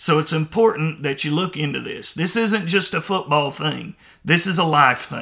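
On a very clean recording with a silent background, a man speaks loud and fairly slowly in a bright, sharp tone with ordinary pitch variation. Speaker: podcast host. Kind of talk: opinion monologue.

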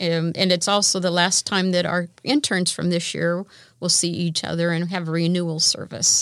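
The pace here is moderate, in a normal speaking voice. Intonation remains fairly even throughout. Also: woman, fairly low pitch for a woman. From US Midwest. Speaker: internship program director. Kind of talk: interview.

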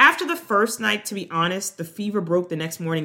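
A woman with an American accent and a bright, sharp tone, at a moderate pace with ordinary pitch variation. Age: 40s. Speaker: business lawyer and podcast host. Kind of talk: solo podcast monologue.

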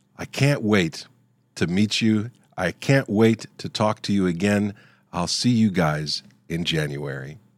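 A man's normal speaking voice, fairly low in pitch, at a fairly slow pace with lively intonation, in a very clean recording with a silent background. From Ohio, US. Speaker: podcast host, Bible teacher. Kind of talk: heartfelt farewell and benediction, closing a season. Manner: warm, sincere, gently solemn.

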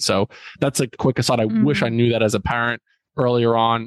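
A man with an American accent talks at a fairly quick pace in a normal speaking voice, medium in pitch with fairly even intonation, in a dry, close sound with no echo. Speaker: school principal and youth mentor. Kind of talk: interview conversation.

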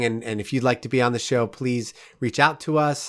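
A man with an American accent has an unremarkable speaking voice, talking at a moderate pace with ordinary pitch variation. The recording is very clean, with a silent background. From New York, Rockland County. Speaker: podcast host, photographer. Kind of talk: casual interview.

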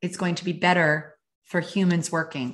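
An ordinary speaking voice moves at a moderate pace. The background is quiet. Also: woman. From Canada (Calgary, Alberta). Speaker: author and happiness coach. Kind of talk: interview.

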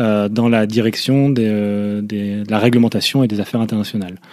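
A man speaks at medium pitch and a moderate pace. His tone is dark and mellow, with fairly even intonation. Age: 30s. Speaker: environmental NGO finance manager. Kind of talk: interview. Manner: halting, many repeated words and fillers.

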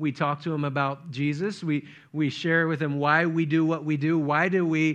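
A man with an unremarkable speaking voice, fairly high pitch and fairly even intonation, over a quiet background. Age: 40s. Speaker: pastor. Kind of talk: sermon.

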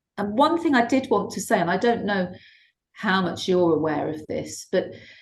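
A woman's voice at medium pitch carries lively intonation and comes across somewhat breathy. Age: 60s. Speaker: shiatsu therapist and teacher. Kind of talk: interview conversation.

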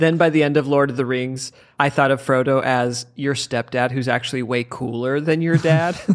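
Very clean and set against a silent background, the recording captures a man with an unremarkable speaking voice, medium pitch, fairly even intonation and a moderate pace. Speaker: comedian podcast co-host. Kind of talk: casual comedic banter about a book. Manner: joking, laughs often.

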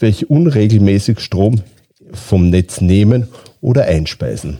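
A man with a dark, mellow tone and a somewhat breathy, fairly low voice talks at a fairly slow pace with ordinary pitch variation. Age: 50s. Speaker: utility company managing director. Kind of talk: interview. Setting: studio.

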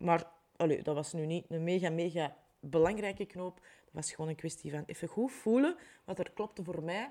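The voice carries a dark, mellow tone and a Flemish accent. Its pace is moderate. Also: woman, fairly low pitch for a woman, ordinary pitch variation. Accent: Flemish Dutch. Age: 40s. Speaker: life coach and podcast host. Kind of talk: solo podcast monologue. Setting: home recording with window open.

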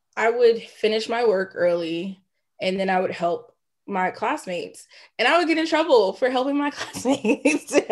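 Against a quiet background, a woman with an ordinary speaking voice talks at a moderate pace with lively intonation. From US South, Georgia (Clayton County). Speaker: choir teacher. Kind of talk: casual interview chat.

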